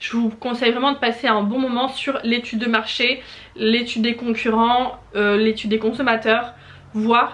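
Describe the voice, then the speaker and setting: Over noticeable background noise, a woman speaks at a fairly slow pace in a fairly high voice with monotone, flat intonation. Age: 20s. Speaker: small business owner and YouTuber. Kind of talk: tutorial. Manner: hesitant, many fillers.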